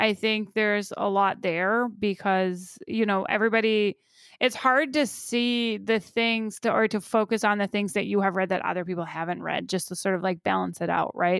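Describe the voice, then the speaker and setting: With hardly any pauses, the speech moves at a moderate pace with ordinary pitch variation on a very clean recording with a silent background. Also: woman, medium pitch for a woman. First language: not English. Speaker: podcast co-host, academic parent. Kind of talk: casual chat. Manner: hesitant, many fillers.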